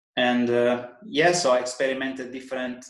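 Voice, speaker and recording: In an Italian accent, a man speaks at a medium pitch with audible room echo. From Italy (Sardinia). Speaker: personal trainer. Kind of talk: podcast interview. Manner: halting.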